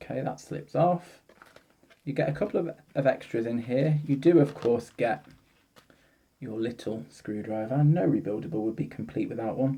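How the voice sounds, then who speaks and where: A dark, mellow voice with a British accent at a fairly slow pace. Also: man. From UK. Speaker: product reviewer. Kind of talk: product review. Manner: hesitant, with fillers. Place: home room. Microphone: phone near.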